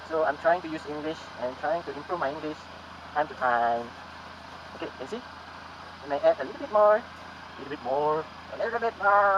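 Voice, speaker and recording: Against noticeable background noise, the speech runs at a fairly quick pace with lively intonation, big swings in loudness and long, frequent pauses. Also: man, fairly high pitch for a man. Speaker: motovlogger. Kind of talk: tutorial.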